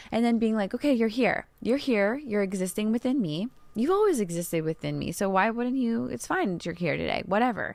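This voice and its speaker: Speaking in an ordinary speaking voice, a woman with a fairly high pitch moves at a fairly quick pace with lively intonation and hardly any pauses. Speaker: podcast host and tarot reader. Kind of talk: solo podcast answering listener questions.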